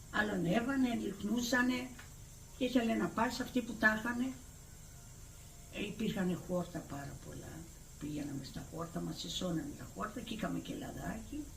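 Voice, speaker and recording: A woman of medium pitch speaks at a moderate pace, with very wide pitch swings and big swings in loudness. Her long, frequent pauses come through over noticeable background noise. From Crete, Greece. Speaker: village elder recounting memories. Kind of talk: oral history interview answer.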